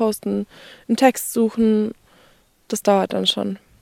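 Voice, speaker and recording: A woman with a medium pitch and a dark, mellow tone is heard in a dry, close sound with no echo. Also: very clean recording, silent background. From Austria, Kleinwalsertal (Vorarlberg). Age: 20s. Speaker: outdoor content creator. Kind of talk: interview.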